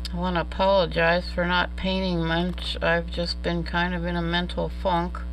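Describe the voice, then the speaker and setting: The speech moves at a moderate pace with monotone, flat intonation, and the room echo is audible. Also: woman, very deep, low pitch for a woman, hardly any pauses. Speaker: art tutorial creator. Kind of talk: casual painting tutorial. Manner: quiet.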